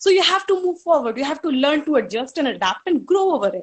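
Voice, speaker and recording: A woman speaks at a very fast pace with an Indian accent. Her intonation is lively. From India, Hardoi, Uttar Pradesh. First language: Hindi. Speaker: college alumna speaker. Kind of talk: reminiscing speech.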